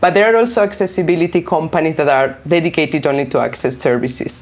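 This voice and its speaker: The speaker has a Spanish accent. Noticeable background noise runs underneath. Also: woman. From Spain. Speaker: localization consultant. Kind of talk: interview.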